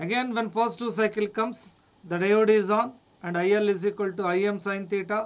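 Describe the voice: At a moderate pace, a man speaks with a high pitch and fairly even intonation.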